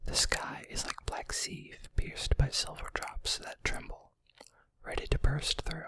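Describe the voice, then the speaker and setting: Whispering very slowly, a man can be heard. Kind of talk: read story. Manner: whispered.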